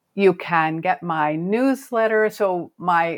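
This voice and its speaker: This voice belongs to a woman with an American accent. Her pitch is fairly low. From US West Coast (Oregon). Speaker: fantasy author. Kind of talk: casual interview.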